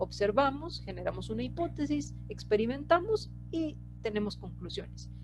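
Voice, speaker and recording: There's audible room echo as a woman talks at a fairly slow pace. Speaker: scientist presenter. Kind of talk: lecture. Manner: hesitant with fillers.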